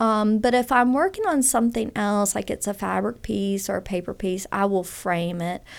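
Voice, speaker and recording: A woman with a Southern US accent speaks at a moderate pace in a medium pitch with ordinary pitch variation, on a very clean recording with a silent background. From Louisiana, Baton Rouge area. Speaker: fiber artist. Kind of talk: interview. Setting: studio.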